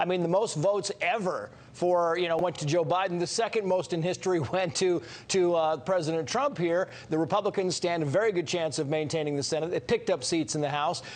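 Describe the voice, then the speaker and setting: A high-pitched man with an American accent, fairly quick in pace, with very even loudness and ordinary pitch variation. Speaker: news anchor. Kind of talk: television news anchor interview.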